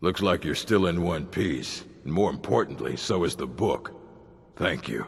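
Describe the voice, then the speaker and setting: A man's put-on character voice, very deep and low in pitch, stern in tone, at a moderate pace. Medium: video game. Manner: curt, stern.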